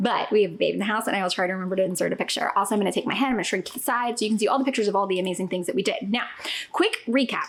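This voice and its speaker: With an animated tone, a woman at medium pitch speaks at a very fast pace with ordinary pitch variation over noticeable background noise. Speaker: family travel vlogger. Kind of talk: casual vlog chat. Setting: at home.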